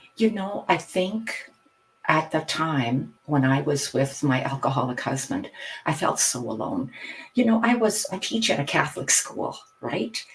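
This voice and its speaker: A woman's very deep, low voice with very wide pitch swings, a Canadian accent and a moderate pace. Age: 60s. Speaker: hypnotherapist and retired teacher. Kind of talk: podcast interview.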